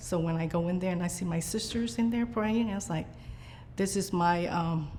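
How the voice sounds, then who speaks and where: With audible room echo around her, a woman speaks at a fairly low pitch and a moderate pace. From Vietnam, raised in Biloxi, Mississippi. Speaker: nun and preschool teacher. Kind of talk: interview. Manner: hesitant, many fillers.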